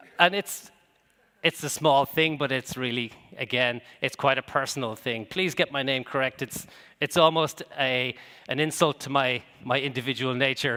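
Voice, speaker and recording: A man with an Irish accent speaks at a moderate pace in a medium pitch, his intonation fairly even. His tone is bright and sharp, and the sound is dry and close with no echo. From Ireland. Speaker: business executive and conference speaker. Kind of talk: conference keynote talk. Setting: stage with audience. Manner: hesitant, with many fillers and repetitions.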